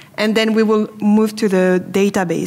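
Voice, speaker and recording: A woman with a French accent talks at a moderate pace with fairly even intonation. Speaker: business development manager. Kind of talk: product presentation. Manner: hesitant, many fillers.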